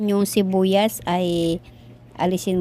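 On a very clean recording with a silent background, a woman of medium pitch speaks very slowly with fairly even intonation and a dark, mellow tone. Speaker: cooking vlogger. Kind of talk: cooking tutorial narration.

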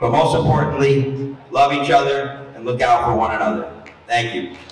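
The man's voice sits at a fairly high pitch. Audible room echo surrounds it. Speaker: teacher. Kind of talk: rally speech. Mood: earnest, warm, encouraging. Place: hall.

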